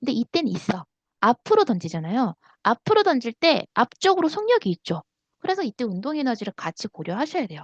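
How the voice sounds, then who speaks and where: A woman with a high voice sounds animated, her pitch swinging very widely at a fairly quick pace in a dry, close recording with no echo. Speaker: science teacher. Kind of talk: lecture.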